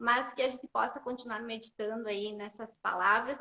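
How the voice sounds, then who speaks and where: A woman talks at a fairly quick pace and a fairly high pitch, her intonation monotone and flat, in a dry, close sound with no echo. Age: 40s. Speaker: bible storytelling live host. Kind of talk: casual live-stream chat. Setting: Instagram live.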